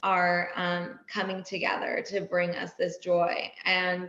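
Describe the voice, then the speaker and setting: A woman speaks with a Californian accent. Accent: Californian American. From US West Coast, Laguna, California. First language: Persian. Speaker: wellness entrepreneur and editor. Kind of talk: podcast interview.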